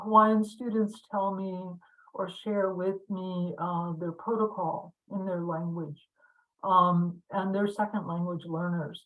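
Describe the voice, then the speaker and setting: A woman's medium-pitched, monotone and flat voice at a very slow pace. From Pine Ridge Reservation, South Dakota (Lakota). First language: Lakota. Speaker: university language instructor. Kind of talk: lecture. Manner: halting, many fillers.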